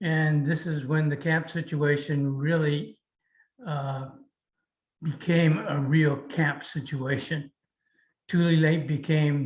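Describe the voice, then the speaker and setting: With an American accent, a man speaks very slowly in a monotone, flat way at a fairly high pitch, his somewhat breathy voice broken by long, frequent pauses. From United States. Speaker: Japanese American incarceration camp survivor. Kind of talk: interview answer.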